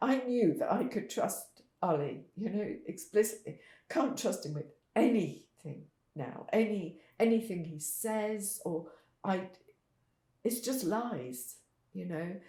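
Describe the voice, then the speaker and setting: Speaking very slowly at medium pitch, a woman with a somewhat breathy, dark and mellow voice swings her pitch very widely. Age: 70s. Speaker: parent of a son with drug problems. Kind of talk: testimony.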